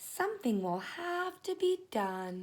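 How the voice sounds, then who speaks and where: Using a put-on character voice, a soft-spoken woman talks in a squeaky, extremely high pitch at a fairly slow pace. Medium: read story. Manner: sweet, soft.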